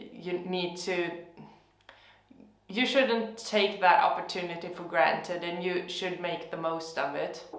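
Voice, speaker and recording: A woman with a Swedish accent speaks very slowly in a fairly low pitch with fairly even intonation, and audible room echo surrounds her voice. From Sweden. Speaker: gardening youtuber. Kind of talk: casual vlog monologue. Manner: hesitant, many fillers.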